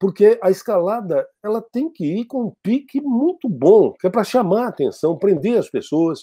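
In a quiet setting, this man keeps to a moderate speaking pace. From Brazil, São Paulo state (grew up in a travelling circus). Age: 60s. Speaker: TV news anchor. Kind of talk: interview. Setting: online live interview. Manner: formal. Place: home room. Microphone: earbuds.

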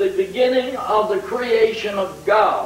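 A man speaks very slowly at an extremely high pitch with lively intonation. Light background noise and audible room echo surround him. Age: 80s. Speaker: preacher. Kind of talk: revival sermon. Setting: church, degraded VHS recording. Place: church.

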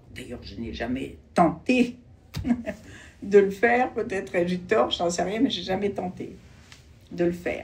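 Her voice is somewhat breathy, and the woman's intonation is lively. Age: 70s. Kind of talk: interview answer.

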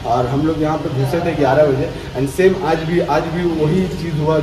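With noticeable background noise around him, a man talks in fairly even intonation. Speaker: fitness vlogger. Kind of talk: casual vlog chat. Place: gym. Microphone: phone near.

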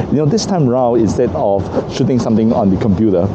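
A man amid noticeable background noise. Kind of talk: casual vlog chat. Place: street. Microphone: phone near.

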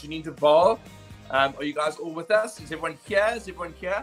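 Faint music plays behind a man speaking at a fairly quick pace with ordinary pitch variation. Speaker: fitness coach. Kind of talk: live stream chat to viewers. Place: home room. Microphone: webcam.

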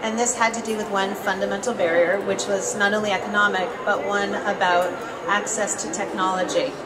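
At a fairly quick pace, a woman with an American accent talks over loud background noise. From Boston. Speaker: poet and editor. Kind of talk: panel discussion. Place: hall. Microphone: handheld.

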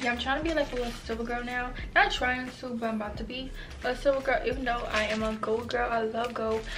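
Over faint background music, a woman with a high pitch talks at a very fast pace with fairly even intonation. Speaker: haul vlogger. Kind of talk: casual vlog chat. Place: home room. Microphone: camera far.

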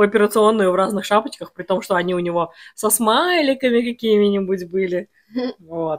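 With ordinary pitch variation, a woman speaks at a moderate pace against a quiet background. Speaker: home food vlogger. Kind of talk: casual vlog chat. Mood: cheerful, storytelling. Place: home room. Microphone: phone near.

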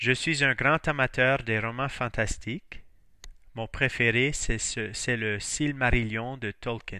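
Very slow and fairly even in intonation, a man speaks at medium pitch with a bright, sharp tone on a very clean recording with a silent background. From northern Maine, US (Fort Kent, St. John Valley). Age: 40s. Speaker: high school French teacher. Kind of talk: self-introduction.

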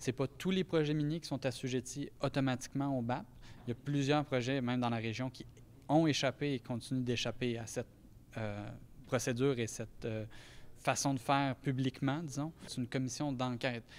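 This man's intonation is fairly even. He talks at a moderate pace. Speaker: lawyer. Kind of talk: interview statement. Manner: hesitant. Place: hall. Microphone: handheld.

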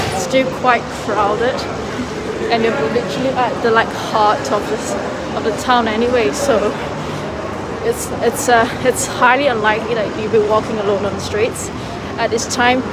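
Amid loud background noise, a woman talks at a moderate pace with long, frequent pauses. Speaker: student vlogger. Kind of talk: casual vlog chat. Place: street. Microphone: phone near.

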